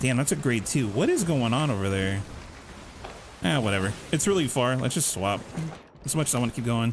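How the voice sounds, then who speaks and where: At a fairly quick pace, a man of medium pitch talks with lively intonation, broken by long, frequent pauses. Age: 30s. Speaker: gaming livestreamer. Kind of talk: live gameplay commentary. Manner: casual, animated.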